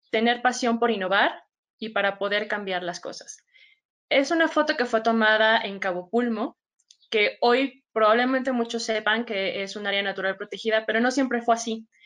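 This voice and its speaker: Here a woman speaks in an ordinary speaking voice. Her pitch is fairly high and her pace moderate. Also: ordinary pitch variation. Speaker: biologist and agtech data specialist. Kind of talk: webinar presentation.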